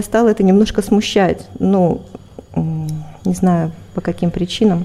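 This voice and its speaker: Here a woman speaks with an ordinary speaking voice. Her pace is fairly slow, with ordinary pitch variation. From Siberia, Russia. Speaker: spiritual practitioner, ashram host. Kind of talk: interview, personal testimony.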